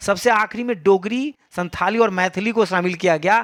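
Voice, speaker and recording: The audio is very clean, with a silent background. This man's pitch moves with ordinary variation. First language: Maithili (speaking Hindi). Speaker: school teacher. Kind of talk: exam paper solution tutorial. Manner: casual, conversational.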